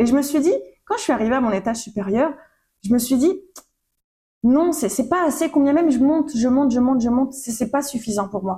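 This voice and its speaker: A woman talks at a very fast pace and high pitch, her tone dark and mellow and her intonation lively. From Réunion Island. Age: 20s. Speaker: podcast host. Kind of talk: casual monologue. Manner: animated.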